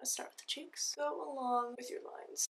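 A woman with an American accent speaks in a high voice. Her pitch swings very widely. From United States. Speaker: ASMR makeup tutorial creator. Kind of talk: ASMR makeup tutorial, instructional talk to camera. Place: home room. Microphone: earbuds.

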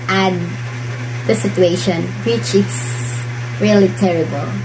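With a Filipino accent, the speaker's pitch swings very widely over noticeable background noise. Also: woman. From Philippines. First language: Bisaya. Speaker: vlogger. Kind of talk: vlog monologue giving advice. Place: home room. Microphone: phone near.

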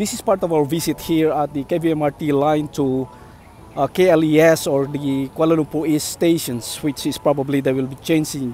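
Faint music plays in the background. A man talks with fairly even intonation. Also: dry sound with no echo. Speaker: site-visit vlogger. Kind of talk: casual vlog commentary. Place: street. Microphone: phone near.

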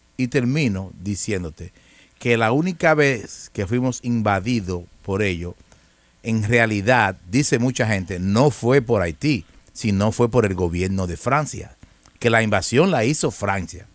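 A man speaks fairly slowly in a fairly low pitch with lively intonation. The sound is dry, with no echo. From Dominican Republic. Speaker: news commentary show host. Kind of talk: casual interview chat; reading news aloud. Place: studio. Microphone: studio mic.

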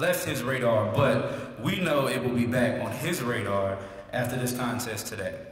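Audible room echo surrounds a man with an American accent. He talks at a fairly slow pace with lively intonation. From US South. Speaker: student and master of ceremonies. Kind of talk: emceeing a contest. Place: hall. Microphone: podium.

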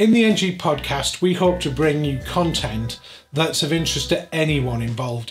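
Faint music plays in the background. The speaker uses lively intonation at a moderate pace. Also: man. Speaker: podcast host. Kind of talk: podcast intro. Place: office. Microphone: studio mic.

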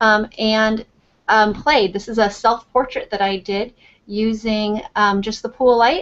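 A woman talks in an ordinary speaking voice at a fairly high pitch. Her pace is fairly slow. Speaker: photographer. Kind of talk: tutorial. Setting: video call.

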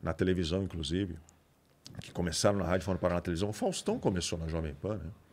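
Over light background noise, a man talks at a very fast pace in a very deep, low voice with monotone, flat intonation. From Santos, São Paulo coast, Brazil; São Paulo, Brazil. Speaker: radio broadcaster; podcast guest, radio host. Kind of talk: casual chat. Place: studio. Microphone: studio mic.

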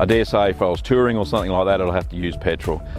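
Ordinary pitch variation in a dry sound with no echo, over clear music in the background. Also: man. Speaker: car owner vlogger. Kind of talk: casual vlog chat. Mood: pleased, relaxed. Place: open country. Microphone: lapel.

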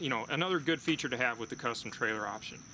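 A man over loud background noise, the sound dry with no echo. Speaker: boat dealer salesman. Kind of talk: product walkthrough. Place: open country.

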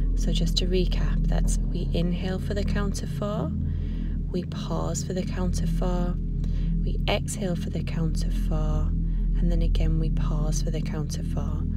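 The delivery is fairly slow, the sound is dry with no echo, and music plays in the background. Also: woman. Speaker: yoga teacher. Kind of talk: guided yoga instruction. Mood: calm, soothing. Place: garden.

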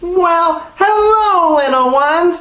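In a put-on character voice, a female-sounding speaker talks fairly slowly at an extremely high pitch, with audible echo around her. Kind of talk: comic children's storytelling. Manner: gleeful, villainous.

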